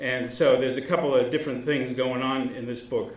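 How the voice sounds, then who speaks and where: With an American accent, a man talks at a moderate pace and medium pitch over noticeable background noise. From Massachusetts. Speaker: author and newspaper columnist. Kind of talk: author talk with slides. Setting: library event with live audience.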